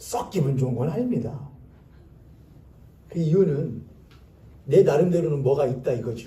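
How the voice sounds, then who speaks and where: A somewhat breathy man with a dark, mellow tone and fairly high pitch, lively intonation at a moderate pace, long and frequent pauses, and audible room echo. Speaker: pastor. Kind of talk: sermon. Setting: church.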